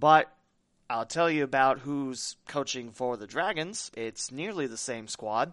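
Against a quiet background, a man in a normal speaking voice talks fairly slowly at a medium pitch with lively intonation. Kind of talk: casual sports chat. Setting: studio.

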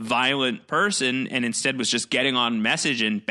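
The reading voice here is unforced.

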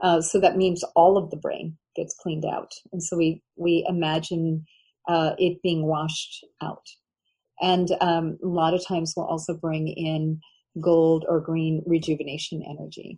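Somewhat breathy and dark, mellow in tone, a woman speaks at a fairly low pitch. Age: 60s. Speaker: author. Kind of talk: interview.

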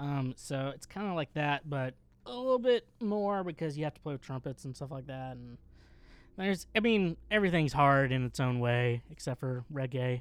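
On a very clean recording with a silent background, a man with an ordinary speaking voice talks at a moderate pace and fairly high pitch, with lively intonation and big swings in loudness. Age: 20s. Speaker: podcast co-host. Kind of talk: casual chat.

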